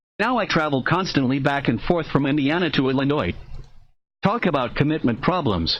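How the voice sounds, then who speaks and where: Using a normal speaking voice, a man talks at a fairly quick pace and fairly high pitch, with lively intonation and very even loudness. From United States, moved around (Midwest and South). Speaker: writer reading his own work. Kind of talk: reading aloud of his own memoir.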